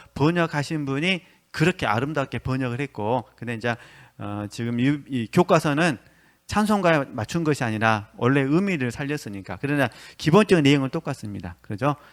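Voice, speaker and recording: A man speaks with a fairly high pitch and lively intonation. The recording is very clean, with a silent background and a dry, close sound with no echo. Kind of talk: lecture. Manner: fast; hesitant with fillers.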